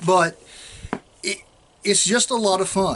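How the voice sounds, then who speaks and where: A man talks in a strong Southern US accent, with noticeable background noise. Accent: strong rural Southern, hillbilly-sounding. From South Central Oklahoma. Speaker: state trooper and vlogger. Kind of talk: casual vlog talk. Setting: outdoors. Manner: relaxed, rambling with fillers.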